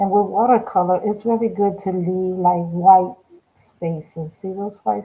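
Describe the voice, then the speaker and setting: A woman speaking at a very slow pace. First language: Spanish. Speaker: art instructor. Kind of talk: live painting tutorial. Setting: livestream. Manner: slow, halting.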